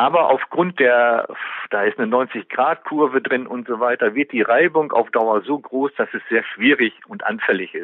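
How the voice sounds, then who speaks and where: At a fairly slow pace, a man talks at a medium pitch with lively intonation. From western Münsterland, Germany, near Dutch border. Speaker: caver and author. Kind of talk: interview. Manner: hesitant, many filler sounds.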